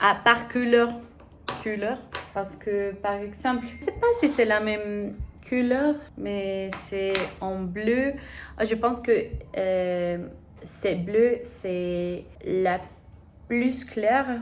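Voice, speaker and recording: With a Spanish accent and ordinary pitch variation, the speech moves very slowly with long, frequent pauses, and audible room echo surrounds it. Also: woman, fairly high pitch for a woman. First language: Spanish (speaking French). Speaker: language-learning vlogger. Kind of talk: casual vlog, language practice. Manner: halting, hesitant.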